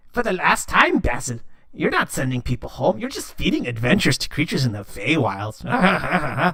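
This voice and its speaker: Using a put-on character voice, a man talks at a moderate pace over light background noise. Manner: exasperated.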